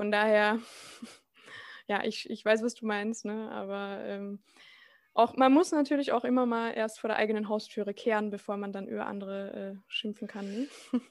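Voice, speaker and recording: With a normal speaking voice, a woman talks at a moderate pace with a fairly high pitch and fairly even intonation on a very clean recording with a silent background. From Austria. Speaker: podcast host. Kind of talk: interview.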